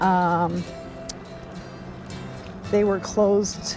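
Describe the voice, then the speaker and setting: There is music in the background. Over it, a woman is talking. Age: old. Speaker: recumbent trike rider, vlogger. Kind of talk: casual talk to camera while riding. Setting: outdoors.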